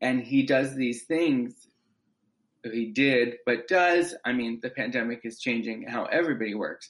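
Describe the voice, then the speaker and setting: At a fairly slow pace, a man with a medium pitch and ordinary pitch variation talks in a normal speaking voice. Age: 20s. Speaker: actor and playwright. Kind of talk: interview.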